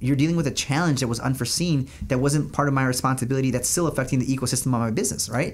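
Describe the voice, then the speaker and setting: With hardly any pauses and very even loudness, a man talks at a very fast pace and medium pitch with ordinary pitch variation over noticeable background noise. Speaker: business owner. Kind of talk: casual, conversational. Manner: fast talker.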